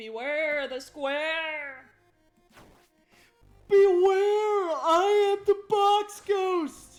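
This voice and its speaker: Someone uses a put-on character voice at an extremely high pitch, talking very slowly. Long, frequent pauses break it up, and faint music plays in the background. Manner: dramatic, booming.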